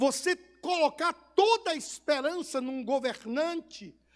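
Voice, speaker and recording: A man with a Bahian accent talks at an extremely high pitch. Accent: Bahian Brazilian Portuguese. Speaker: pastor. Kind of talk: sermon.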